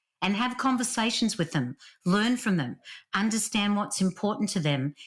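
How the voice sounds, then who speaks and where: A woman speaks in a strong Australian accent with lively intonation. The recording is very clean, with a silent background. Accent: Australian, still strong. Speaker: leadership author and speaker. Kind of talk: podcast interview.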